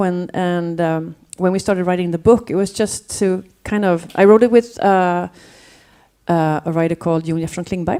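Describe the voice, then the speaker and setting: A woman speaks at a moderate pace in a medium pitch, her dark, mellow tone carried by fairly even intonation on a very clean recording with a silent background. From Sweden, Gothenburg. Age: 40s. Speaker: curator and music journalist. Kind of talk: panel talk. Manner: halting. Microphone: needs to be close to mic.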